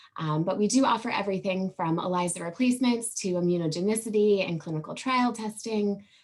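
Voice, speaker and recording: A woman talks in a medium pitch with hardly any pauses. Noticeable background noise sits behind her. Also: ordinary pitch variation, fairly quick pace. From Maine (Saco). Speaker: business development manager. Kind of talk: networking pitch. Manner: hesitant with many fillers.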